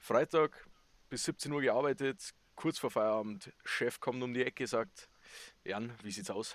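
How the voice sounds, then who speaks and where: A man with a Bavarian accent at a medium pitch, ordinary pitch variation and a fairly slow pace, in a very clean recording with a silent background and a dry, close sound with no echo. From Bavaria, Chiemsee area. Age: 20s. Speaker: podcast co-host, soldier. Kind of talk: casual chat.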